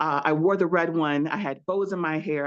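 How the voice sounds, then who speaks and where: The background is quiet. A woman speaks with a slight Southern US accent. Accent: slight Southern twang. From Louisiana. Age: 40s. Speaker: researcher. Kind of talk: storytelling. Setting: video call from home.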